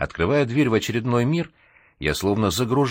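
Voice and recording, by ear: The pitch shifts in an ordinary way as the speaker reads aloud in a natural voice.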